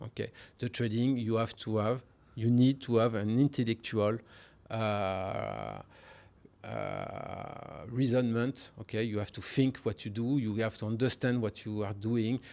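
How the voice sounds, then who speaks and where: A man's medium-pitched, monotone, flat delivery at a fairly slow pace, on a very clean recording with a silent background. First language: French. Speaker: hedge fund trader. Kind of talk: interview. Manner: hesitant, many fillers.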